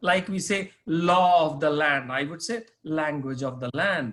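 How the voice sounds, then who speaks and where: A man with an Indian accent at a very slow pace. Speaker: corporate trainer. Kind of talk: interview. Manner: hesitant, with fillers.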